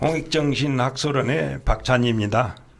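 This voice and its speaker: This man talks at a very slow pace. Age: 70s. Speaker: scholar of Korean studies. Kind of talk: interview.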